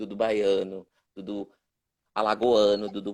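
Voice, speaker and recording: This man talks at a moderate pace. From Brazil, Northeast (Pernambuco, Olinda/Recife). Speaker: puppet theatre director and teacher. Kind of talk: live-stream interview. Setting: online live stream. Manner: halting, many repetitions.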